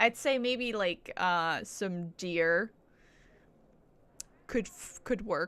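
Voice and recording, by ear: Speaking very slowly, a woman has a medium pitch, ordinary pitch variation, and a fairly bright, clear, smooth tone.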